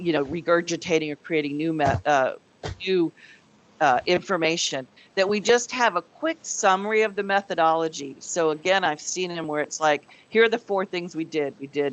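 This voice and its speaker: With a plain, everyday voice, a woman speaks at a moderate pace, her pitch fairly low with ordinary pitch variation. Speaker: committee meeting chair. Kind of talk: business meeting presentation.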